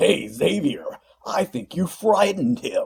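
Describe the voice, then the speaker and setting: The voice is a put-on character voice. It sounds gruff and raspy. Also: man. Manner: chuckling.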